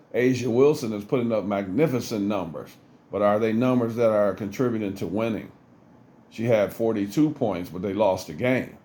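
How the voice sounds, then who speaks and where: There is audible room echo around this man's voice. He speaks fairly low, with a dark, mellow tone and ordinary pitch variation. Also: moderate pace. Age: 60s. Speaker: former pro basketball player, sports commentator. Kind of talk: sports commentary monologue. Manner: earnest.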